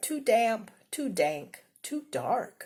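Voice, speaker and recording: This woman's put-on character voice sounds squeaky and sits fairly high. Her pitch swings very widely. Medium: read story.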